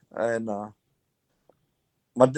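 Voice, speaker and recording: A man speaks with a Southern US accent. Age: 60s. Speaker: retired baseball player. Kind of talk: interview.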